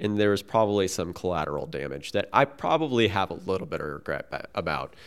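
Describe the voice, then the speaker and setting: In a very clean recording with a silent background, a man with an ordinary speaking voice talks at a fairly quick pace, his pitch fairly low and his intonation lively. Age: 40s. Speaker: paddler, coach and physical therapy student. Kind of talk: casual chat. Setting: in person.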